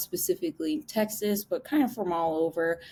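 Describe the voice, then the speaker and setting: A woman with a Chicago accent at a moderate pace, in a very clean recording with a silent background. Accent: Chicago accent, slightly nasal. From US Midwest, Chicago area. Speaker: podcast host. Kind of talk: interview podcast.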